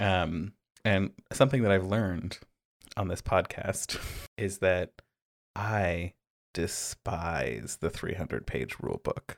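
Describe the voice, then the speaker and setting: On a very clean recording with a silent background and a dry, close sound with no echo, a man with a very deep, low pitch and vocal fry talks at a very slow pace, using ordinary pitch variation and long, frequent pauses. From British Columbia, Canada (Pender Island). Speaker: podcast co-host, game designer. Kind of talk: casual chat.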